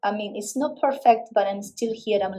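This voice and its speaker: With a Uruguayan accent, a woman speaks at a moderate pace in a fairly high voice with a dark, mellow tone. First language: Spanish. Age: 40s. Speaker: physics teacher. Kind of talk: interview.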